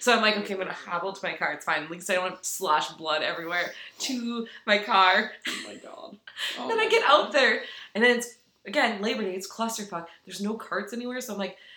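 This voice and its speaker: A medium-pitched woman at a very fast pace, with lively intonation, big swings in loudness and noticeable background noise. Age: 30s. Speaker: podcast co-host. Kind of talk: casual chat. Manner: animated, laughing.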